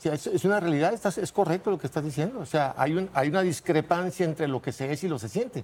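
At a very fast pace with hardly any pauses, a man talks with lively intonation at fairly high pitch on a very clean recording with a silent background. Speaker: conservative family-group spokesman. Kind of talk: heated debate.

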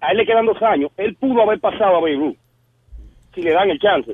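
A man talks at a moderate pace. His voice is high-pitched. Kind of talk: sports talk call-in. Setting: phone call.

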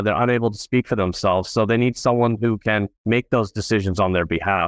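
A man with an American accent, a fairly low pitch and ordinary pitch variation, an unremarkable speaking voice, with a dry, close sound with no echo and a quiet background. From Southern California. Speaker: estate planning attorney. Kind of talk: interview.

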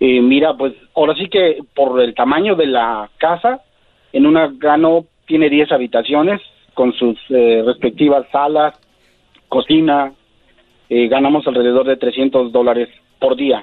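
A man with a fairly high pitch speaks at a fairly slow pace, leaving long, frequent pauses. His loudness stays very even and his pitch variation is ordinary. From Mexico City. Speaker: cleaning business owner. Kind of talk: interview. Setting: phone call.

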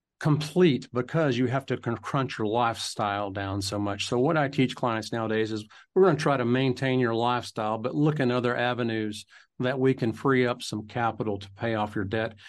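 At a moderate pace, a man talks in a medium pitch with ordinary pitch variation against a quiet background. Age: 50s. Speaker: financial advisor. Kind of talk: interview. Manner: halting.

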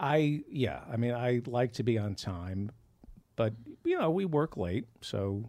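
Lively intonation carries a man's words at a very slow pace. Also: medium pitch for a man. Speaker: comedian and podcast host. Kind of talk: casual banter, joking. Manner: interrupting, joking, teasing.

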